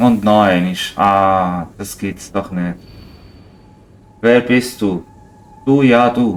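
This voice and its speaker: Noticeable background noise sits behind a man with a fairly low pitch. He speaks at a very slow pace with long, frequent pauses. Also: ordinary pitch variation. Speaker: gamer. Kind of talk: let's play commentary.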